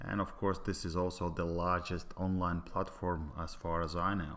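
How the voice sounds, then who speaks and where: A man's very deep, low voice with a Latvian accent. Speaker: business presenter. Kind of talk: sales pitch. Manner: halting, many filler sounds.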